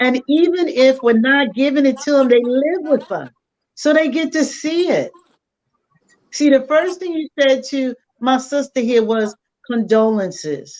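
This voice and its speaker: At a fairly slow pace, a woman speaks in an animated tone, high in pitch with ordinary pitch variation. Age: 60s. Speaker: life coach and mother. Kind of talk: casual chat.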